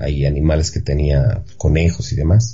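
In a room with audible echo and noticeable background noise, a man speaks at a moderate pace. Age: 30s. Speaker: actor, son of a film star. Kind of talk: radio interview.

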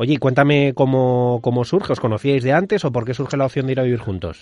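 A man with a Madrid accent talks at a fairly quick pace in a medium pitch against a quiet background. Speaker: podcast host. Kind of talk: casual chat; scripted intro.

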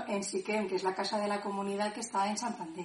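With audible room echo around her, a woman speaks at a medium pitch. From Benicarló, Castellón, Spain. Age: 30s. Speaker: discipleship school participant. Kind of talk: personal testimony.

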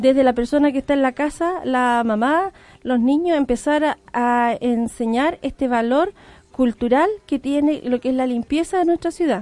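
This woman's voice is high-pitched, with a dark, mellow tone and ordinary pitch variation. She talks at a moderate pace with very even loudness, in a dry, close sound with no echo. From Arauco, Chile. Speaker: tourism operator. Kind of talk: radio interview.

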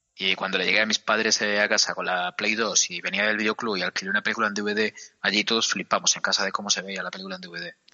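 A very fast man's voice, fairly low in pitch, with a monotone, flat intonation. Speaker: video game podcast co-host. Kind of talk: casual chat.

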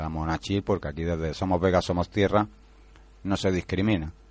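A man is speaking. The background is quiet. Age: 40s. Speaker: unemployed course participant. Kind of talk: radio interview.

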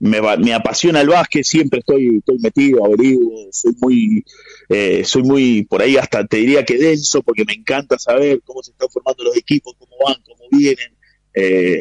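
A normal speaking voice with lively intonation and big swings in loudness. The pace is moderate and the sound dry and close with no echo. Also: man, medium pitch for a man. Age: 40s. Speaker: basketball journalist. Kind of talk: radio interview.

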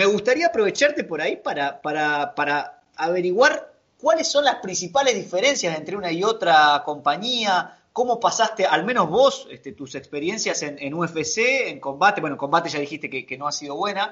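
With a Rioplatense accent, a high-pitched man talks with hardly any pauses, his pitch swinging very widely and his loudness shifting in big swings. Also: moderate pace. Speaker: podcast co-host. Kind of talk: casual chat. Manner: halting, repeats words.

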